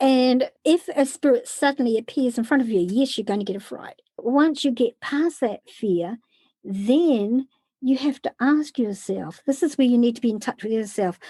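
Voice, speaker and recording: A woman with a high voice and a dark, mellow tone speaks at a moderate pace in a very clean, dry, close recording with no echo and a silent background. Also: lively intonation. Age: 60s. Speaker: spiritual sensitive and podcast host. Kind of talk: interview.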